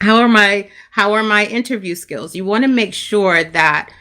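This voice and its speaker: Bright and sharp in tone, a woman speaks at a medium pitch with a Brooklyn accent. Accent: New York, Brooklyn. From Brooklyn, New York, Jamaican family. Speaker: career coach. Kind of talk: live stream talk.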